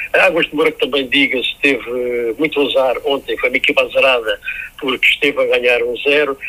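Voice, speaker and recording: Noticeable background noise accompanies a man who speaks at a fairly quick pace. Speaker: radio sports commentator. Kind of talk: radio sports analysis. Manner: hesitant, with fillers.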